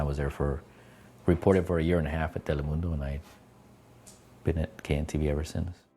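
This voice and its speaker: A man's very deep, low voice with a dark, mellow tone and an American accent, very fast in pace yet with long, frequent pauses, in a monotone, flat intonation. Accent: slight Mexican American. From California, Salinas Valley (Greenfield), Mexican American family. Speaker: TV journalist. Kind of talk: interview testimony.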